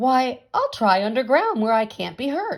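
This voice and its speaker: A woman puts on a character voice, pitched high and delivered at a moderate pace. The recording is very clean, with a silent background. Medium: read story.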